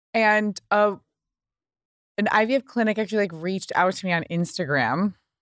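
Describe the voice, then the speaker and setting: A woman talks at a moderate pace in a plain, everyday voice, her pitch medium with ordinary variation. The sound is dry and close, with no echo. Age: 30s. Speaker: podcast personality. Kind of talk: casual chat.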